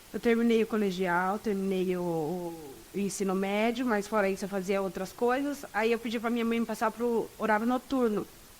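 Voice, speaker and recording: A woman speaks in an ordinary speaking voice at a moderate pace, pitched fairly high. Her pitch varies in an ordinary way, with hardly any pauses. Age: 20s. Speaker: law student. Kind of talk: interview.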